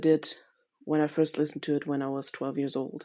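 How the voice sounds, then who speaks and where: A woman with a German accent speaks in a dark, mellow tone on a very clean recording with a silent background. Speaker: listener sending a voice memo. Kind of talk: recorded voice memo monologue. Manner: unscripted, with hesitations.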